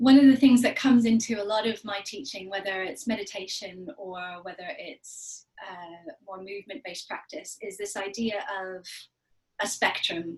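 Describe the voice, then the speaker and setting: Somewhat breathy speech comes at a moderate pace, with ordinary pitch variation and big swings in loudness. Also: woman, medium pitch for a woman. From Canada. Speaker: meditation and yoga teacher. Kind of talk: guided meditation session introduction. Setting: video call.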